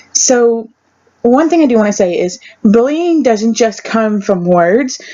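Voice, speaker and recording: A woman is speaking. Her pace is very slow. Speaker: video blogger. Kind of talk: personal testimony. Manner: halting.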